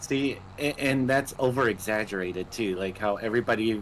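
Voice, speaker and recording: A man's moderate-paced speech with ordinary pitch variation in a Minnesotan accent. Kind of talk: casual chat.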